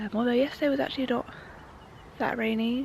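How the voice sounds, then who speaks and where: A fairly quick pace with an English accent. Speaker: motorsport vlogger. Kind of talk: vlog. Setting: outdoors.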